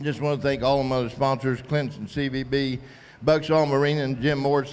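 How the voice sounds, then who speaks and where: A man's fairly high-pitched voice moves at a fairly quick pace in a monotone, flat intonation over noticeable background noise. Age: 60s. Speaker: tournament angler. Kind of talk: post-tournament interview.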